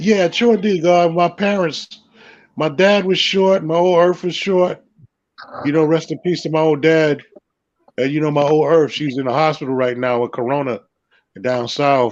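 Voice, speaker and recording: The speaker has a New York accent. Long, frequent pauses run through the speech. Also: man, fairly high pitch for a man, ordinary pitch variation, moderate pace. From Brooklyn, New York. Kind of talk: casual chat.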